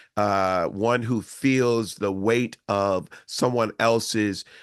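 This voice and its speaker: Against a quiet background, a man with an American accent talks at a very slow pace in a fairly low pitch, with fairly even intonation and very even loudness. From Houston, Texas. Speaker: singer-songwriter. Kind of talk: interview. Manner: articulate.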